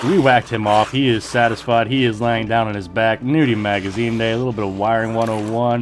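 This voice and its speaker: Against noticeable background noise, a man talks at a medium pitch and a fairly quick pace. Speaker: gaming YouTuber. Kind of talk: gameplay voiceover commentary. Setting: voiceover recorded while editing. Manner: casual, unscripted; occasional stumbling on words.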